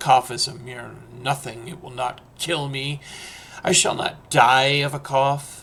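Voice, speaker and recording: A man puts on a raspy character voice at a medium pitch. His delivery is flat and monotone, at a fairly slow pace. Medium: read story. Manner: proud, dismissive.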